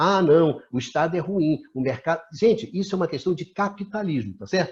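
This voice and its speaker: A man speaks at a high pitch. His voice moves through very wide pitch swings. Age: 60s. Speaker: talk show host, energy sector analyst. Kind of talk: discussion interview. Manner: animated.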